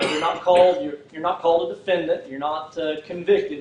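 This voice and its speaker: The speaker talks at a very fast pace with a Texan accent. Noticeable background noise sits behind the voice. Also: man. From Texas, Fort Worth. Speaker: prosecutor running for district attorney. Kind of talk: campaign speech. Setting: political rally, no microphone. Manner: halting, many fillers.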